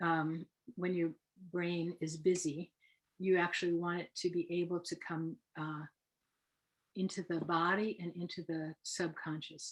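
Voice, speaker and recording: A woman's fairly low, monotone voice with flat intonation, at a fairly slow pace broken by long, frequent pauses. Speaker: hypnotherapist. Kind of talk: lecture. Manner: soft-spoken; hesitant, many fillers.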